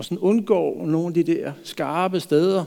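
This man speaks with a high pitch. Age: 50s. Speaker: pastor. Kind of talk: sermon.

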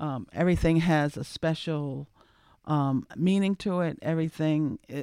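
A woman with a very deep, low pitch and a dark, mellow tone speaks with fairly even intonation in a very clean recording with a silent background. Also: dry, close sound with no echo. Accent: American. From Cape Cod, Massachusetts. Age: 50s. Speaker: chef. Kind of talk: radio panel discussion.

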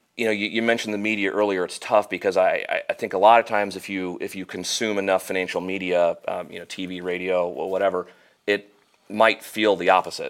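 A man talks very fast in a Midwestern American accent, his pitch fairly low. His intonation is monotone and flat, while his loudness swings widely. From Central Illinois (Normal). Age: 30s. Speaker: financial planner. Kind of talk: casual interview.

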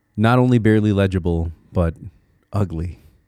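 Recorded very cleanly against a silent background, a man with an American accent talks at a moderate pace. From Connecticut, US. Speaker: podcast host. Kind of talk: solo monologue podcast, reflective. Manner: reflective, halting with repeated words.

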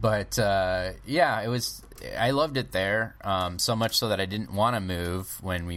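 A man with an American accent, an ordinary speaking voice, fairly low pitch and ordinary pitch variation, on a very clean recording with a silent background. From Michigan, US Midwest. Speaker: comedy festival founder and podcaster. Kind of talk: casual interview chat.

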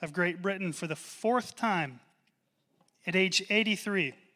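A man with a high, bright, sharp voice projects it loudly at a moderate pace, his intonation fairly even. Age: 40s. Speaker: pastor. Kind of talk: sermon. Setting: church.

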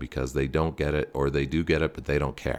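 With a Canadian accent, a man talks with vocal fry in a monotone, flat intonation. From Ontario, Canada (Stouffville). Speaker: sports reporter. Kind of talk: casual chat.

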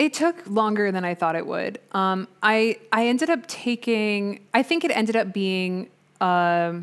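A woman with an American accent and medium pitch speaks in a normal speaking voice, fairly slowly and with lively intonation. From US Midwest, Chicago suburbs. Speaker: orchestral percussionist. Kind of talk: interview. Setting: video call.

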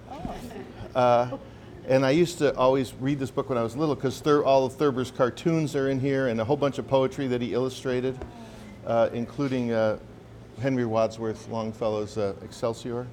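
Moving at a fairly quick pace, a man with a normal speaking voice talks at medium pitch with fairly even intonation. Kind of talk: casual chat. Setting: cafe with audience.

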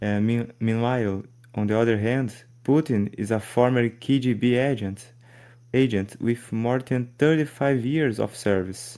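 A man speaks fairly slowly with a non-native accent and a dark, mellow tone. The recording is very clean, with a silent background. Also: medium pitch for a man, fairly even intonation. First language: Portuguese. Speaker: podcast host. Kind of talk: interview.

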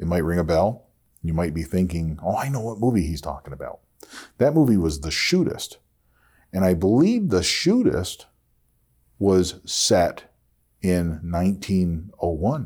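With an American accent, a man speaks at a fairly slow pace with long, frequent pauses, his very deep, low voice dark and mellow yet lively in intonation. The recording is very clean, with a silent background. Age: 50s. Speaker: podcast host. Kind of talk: solo podcast monologue.

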